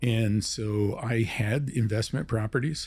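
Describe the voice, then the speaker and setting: A man's somewhat breathy voice with a dark, mellow tone sits at medium pitch, showing ordinary pitch variation on a very clean recording with a silent background. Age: 70s. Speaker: real estate investor. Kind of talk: podcast interview.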